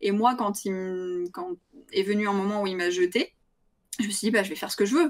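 A plain, everyday voice at a moderate pace. The pitch varies in an ordinary way. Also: woman. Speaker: streamer. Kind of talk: casual chat.

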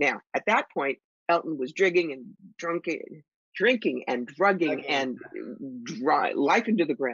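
A woman's fairly low voice with lively intonation at a moderate pace, dry with no echo, over a quiet background. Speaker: psychic medium and author; podcast guest. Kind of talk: interview. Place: home room. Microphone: webcam.

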